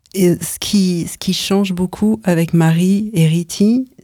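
Very slowly and with fairly even intonation, a woman speaks in a fairly low pitch. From France. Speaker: choreographer and performer. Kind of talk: radio interview. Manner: halting, many repetitions.

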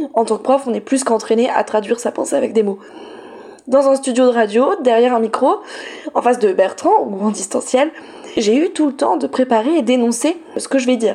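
Noticeable background noise accompanies a woman with a fairly high pitch. She talks at a fairly quick pace with ordinary pitch variation. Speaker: teacher and feminist radio columnist. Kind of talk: scripted column. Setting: studio. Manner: soft-spoken.

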